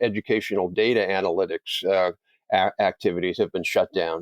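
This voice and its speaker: The sound is dry and close, without any echo. A man talks. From Canada. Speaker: think tank president, policy expert. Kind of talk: interview. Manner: animated.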